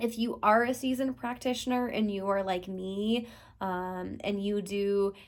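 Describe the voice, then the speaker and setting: The recording is very clean, with a silent background. A woman speaks at a fairly slow pace with a medium pitch. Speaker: tarot reader and deck reviewer. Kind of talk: product review talking to camera. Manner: enthusiastic.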